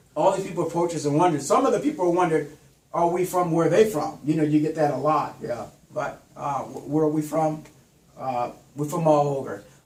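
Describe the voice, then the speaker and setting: In a room with audible echo, a man talks fairly quickly at a fairly high pitch, with ordinary pitch variation. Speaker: talk show host. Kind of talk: interview.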